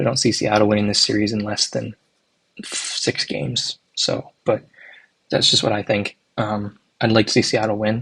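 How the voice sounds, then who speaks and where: A soft-spoken man with a fairly low pitch, fairly even intonation and a moderate pace. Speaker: hockey YouTuber. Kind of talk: casual predictions commentary. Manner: hesitant, filler-heavy.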